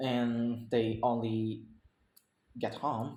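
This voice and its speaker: A man of medium pitch speaks in a Vietnamese accent amid audible room echo. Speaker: English learner. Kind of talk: speaking practice presentation. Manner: halting, many self-corrections.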